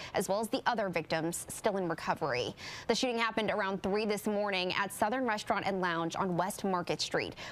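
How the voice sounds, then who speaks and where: This woman has a plain, everyday voice at a medium pitch, with ordinary pitch variation, very even loudness and a fairly quick pace. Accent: American. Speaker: local TV news anchor and reporter. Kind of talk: TV news anchor read. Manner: professional, serious, clear.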